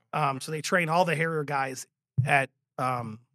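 In a very clean recording with a silent background, a man's fairly high, bright, sharp voice sounds dry and close with no echo. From Louisiana. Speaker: Marine Corps veteran, nonprofit director. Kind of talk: casual interview.

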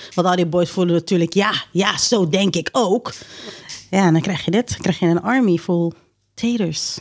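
A woman with an unremarkable speaking voice talks at a moderate pace, at medium pitch with ordinary pitch variation. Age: 30s. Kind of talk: casual chat.

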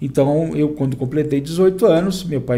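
A somewhat breathy voice with a dark, mellow tone shows ordinary pitch variation. Audible room echo surrounds it. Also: man. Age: 50s. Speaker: tax exemption consultant, wheelchair user. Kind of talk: casual interview chat.

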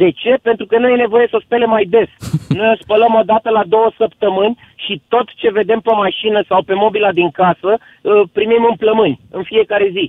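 This man has a high pitch, ordinary pitch variation, and a moderate pace. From Bucharest, Romania. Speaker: caller planning to emigrate. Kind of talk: casual call-in chat. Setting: phone call.

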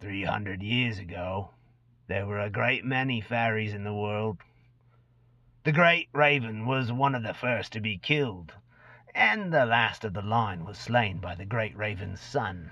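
A man puts on a hissing character voice with fairly low pitch. He talks at a fairly slow pace against a quiet background. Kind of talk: dramatic reading. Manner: sly, boastful storyteller.

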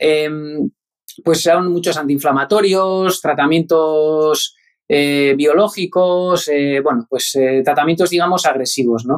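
A man speaks at a very slow pace with a fairly high pitch. His pitch varies in an ordinary way and his loudness stays very even. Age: 40s. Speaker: engineer and health-tech founder. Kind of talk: interview.

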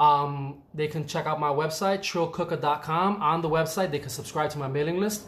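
With a New York accent, a man talks at a fairly quick pace, his pitch fairly high and his intonation fairly even. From New York, the Bronx. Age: 30s. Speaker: chef. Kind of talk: casual chat.

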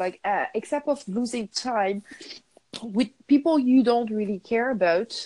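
A woman's fairly high voice in a French accent, dark and mellow in tone, with very wide pitch swings. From France. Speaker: podcast co-host. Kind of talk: casual chat. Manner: halting.

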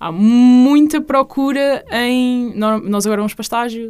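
A woman's voice with ordinary pitch variation. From central Portugal, Leiria district. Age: 20s. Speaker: university student. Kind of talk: casual interview.

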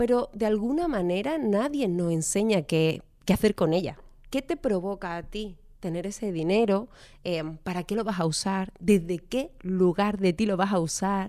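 Speaking at a fairly slow pace, a woman has a dark, mellow tone at medium pitch, captured in a very clean recording with a silent background. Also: ordinary pitch variation. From Andalusia, Málaga. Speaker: economist and financial coach. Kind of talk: interview.

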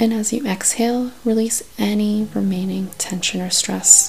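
A woman speaks in a gentle tone at a fairly slow pace, with noticeable background noise behind her. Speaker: podcast host and meditation guide. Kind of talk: guided meditation. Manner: slow, calm, soothing; gentle, soft-spoken, with long pauses.

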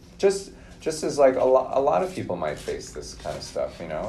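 With an American accent, a man speaks at a moderate pace. Audible room echo and noticeable background noise fill the recording. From Minnesota. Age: 30s. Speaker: podcast guest. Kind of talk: casual interview.

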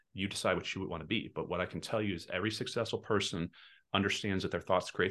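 Very deep and low, a man's voice moves at a very fast pace in an American accent. His intonation stays fairly even over a quiet background. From Texas. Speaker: real estate team leader and investor. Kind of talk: podcast interview.

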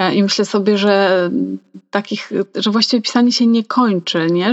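With a plain, everyday voice, a woman speaks at a medium pitch and a moderate pace, with fairly even intonation. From Poland, Mazovia, small town. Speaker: podcast co-host, hobby writer. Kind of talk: casual chat.

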